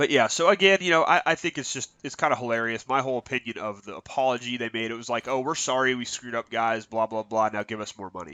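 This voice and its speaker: At a very fast pace, a man with a medium pitch talks with lively intonation. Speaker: gaming commentator. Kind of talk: casual talk to camera.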